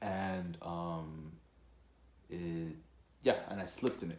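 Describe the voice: A man with a slightly mellow tone speaks at a fairly slow pace.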